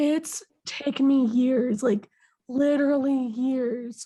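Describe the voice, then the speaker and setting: A woman with an American accent speaks at a very slow pace in a high voice. Her pitch varies in an ordinary way against a quiet background. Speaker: podcast host. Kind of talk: casual chat.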